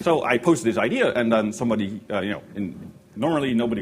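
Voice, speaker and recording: Audible room echo and noticeable background noise surround a man. His medium pitch moves in very wide swings. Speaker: software engineer giving a workshop talk. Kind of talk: conference presentation. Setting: stage with audience. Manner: hesitant, many fillers; animated when enthusiastic.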